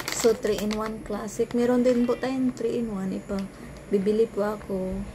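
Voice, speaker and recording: A soft-spoken whisper over noticeable background noise. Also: woman. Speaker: vlogger selling coffee products. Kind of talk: product review vlog, sales pitch. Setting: bedroom at home. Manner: soft-spoken, near whisper; halting, many restarts.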